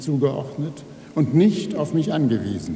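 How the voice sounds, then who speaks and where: A man with a fairly high pitch, plus audible room echo. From Rhineland, Germany (Neuss); Rhineland, Germany. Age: 60s. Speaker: writer. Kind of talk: acceptance speech. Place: hall. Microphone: podium.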